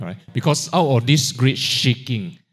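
A man speaks at a medium pitch, somewhat breathy. The recording is very clean with a silent background. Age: 60s. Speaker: guest preacher. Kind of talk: sermon. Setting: church.

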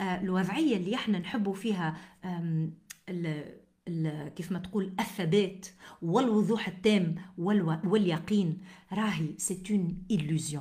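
At a fairly slow pace, a woman with a Tunisian accent speaks in a somewhat breathy voice of medium pitch and ordinary variation. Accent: Tunisian Arabic with French code-switching. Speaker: podcast host, motivational speaker and author. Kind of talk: motivational monologue.

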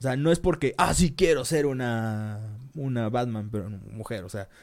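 Someone with a Mexican accent talks at a fairly slow pace with lively intonation, on a very clean recording with a silent background. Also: man. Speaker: podcast co-host. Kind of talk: casual chat. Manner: halting, stumbles over words.

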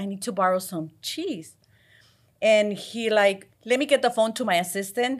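On a very clean recording with a silent background, a woman with a Mexican accent speaks at a moderate pace with ordinary pitch variation. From Mexico. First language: Spanish. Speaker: restaurant chain trainer. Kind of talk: interview.

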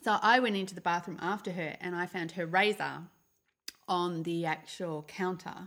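This woman has an Australian accent and a fairly low pitch. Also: fairly even intonation, moderate pace. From Melbourne, Australia. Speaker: podcast co-host. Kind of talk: casual chat.

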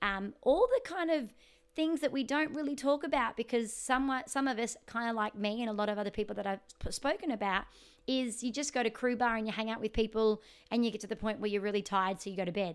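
Using an animated tone and an Australian accent, a woman with a fairly high voice talks very fast with ordinary pitch variation. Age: 30s. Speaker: podcast host, singer and life coach. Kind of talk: casual interview chat. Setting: remote call.

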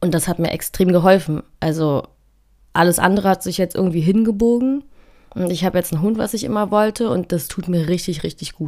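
A woman talks at a fairly quick pace in a medium pitch. Her tone is dark and mellow. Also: ordinary pitch variation. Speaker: podcast host. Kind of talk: personal monologue. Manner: halting, many fillers.

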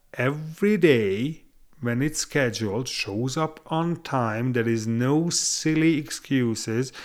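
A man with a Hungarian accent at medium pitch, making very wide pitch swings, in a very clean recording with a silent background. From Hungary. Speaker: tile tradesman. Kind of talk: casual chat. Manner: halting.

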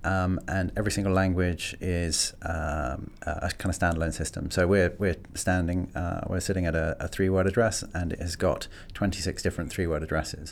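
A man with a London accent talks at a moderate pace in a very deep, low pitch, with fairly even intonation and hardly any pauses. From London (Greenwich). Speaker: tech company marketing executive. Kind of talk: interview. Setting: studio. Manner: hesitant, many fillers and repeats.

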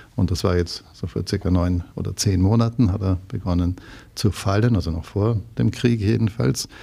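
A man with a very deep, low pitch, a dark, mellow tone and vocal fry, at a moderate pace with ordinary pitch variation, on a very clean recording with a silent background. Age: 60s. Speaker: real estate executive. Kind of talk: interview.

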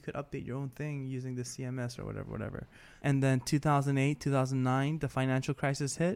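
A fairly quick speaker with an American accent and fairly even intonation. The recording is very clean, with a silent background. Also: man. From New York. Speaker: podcast co-host, photographer. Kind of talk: casual chat.

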